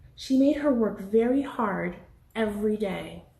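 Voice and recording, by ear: A woman speaks at medium pitch with a dark, mellow tone, vocal fry and lively intonation. Her fairly slow delivery carries audible room echo.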